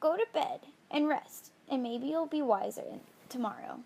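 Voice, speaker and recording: Putting on a croaky character voice, a woman speaks at a high pitch and a moderate pace. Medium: read story.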